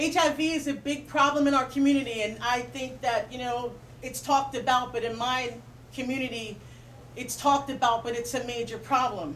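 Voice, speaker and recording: Speaking at a fairly quick pace, a woman uses fairly even intonation. Her pitch is high. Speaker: spoken word poet. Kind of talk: casual talk to audience. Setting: bookstore reading event, live audience.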